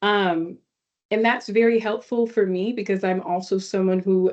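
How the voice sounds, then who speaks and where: Moderate pace and fairly even intonation with an American accent. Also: woman. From Dallas, Texas. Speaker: journalist. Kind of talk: panel talk. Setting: video call.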